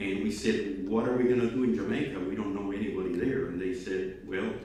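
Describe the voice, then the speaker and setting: A man's fairly low voice with a Spanish accent and ordinary pitch variation, over noticeable background noise and audible room echo. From Cuba. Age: old. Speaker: speaker at student awards ceremony. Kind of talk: speech to students. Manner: halting, many fillers.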